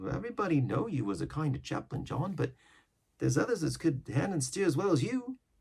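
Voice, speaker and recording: A man's growling, put-on character voice, fairly high in pitch and very fast. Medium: read story. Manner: growling, impatient.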